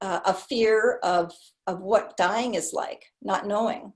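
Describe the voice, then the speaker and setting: A somewhat breathy woman with an American accent speaks at a fairly slow pace and a medium pitch, her intonation fairly even. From Omaha, Nebraska. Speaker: retired social worker and therapist. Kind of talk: interview answer.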